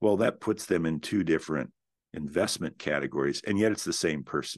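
A man's fairly quick speech with vocal fry and ordinary pitch variation, against a quiet background. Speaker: real estate investment company founder, podcast host. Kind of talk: solo educational talk.

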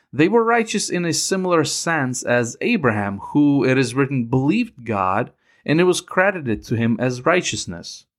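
The speaker has a Ukrainian accent and very wide pitch swings, moving at a moderate pace with hardly any pauses. The recording is very clean, with a silent background. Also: man, fairly high pitch for a man. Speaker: Bible teacher podcaster. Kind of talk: scripted Bible teaching. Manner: measured, formal.

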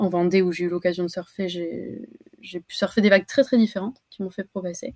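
Dry and close with no echo, a very clean recording with a silent background carries a woman's medium pitch in a normal speaking voice with ordinary pitch variation. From French Basque Country, Anglet. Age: 20s. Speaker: student and competitive longboard surfer. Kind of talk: casual interview.

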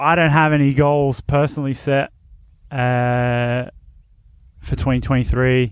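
Speaking with an Australian accent, a man with a medium pitch and flat, monotone intonation talks at a very slow pace with long, frequent pauses, in a very clean recording with a silent background. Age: 30s. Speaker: BMX podcast host. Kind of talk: casual solo podcast talk. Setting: on location at family's place. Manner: relaxed, filler-heavy.

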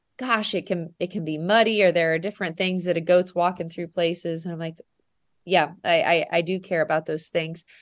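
A woman with an American accent speaks in a plain, everyday voice at a fairly quick pace, medium pitch and ordinary pitch variation. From US Midwest, Nebraska. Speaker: dairy goat farmer. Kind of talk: casual interview.

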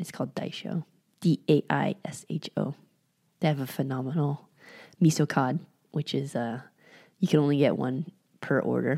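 A woman with an American accent, a very deep, low pitch, vocal fry and a dark, mellow tone speaks with ordinary pitch variation and long, frequent pauses, in a very clean recording whose sound is dry and close with no echo and a silent background. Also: moderate pace. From California, San Francisco Bay Area. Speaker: physical therapist, podcast co-host. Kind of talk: casual interview chat.

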